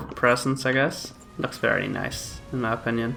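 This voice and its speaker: A man at a moderate pace with fairly even intonation, music in the background. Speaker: gaming commentator. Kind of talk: let's play commentary. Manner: hesitant, many filler sounds.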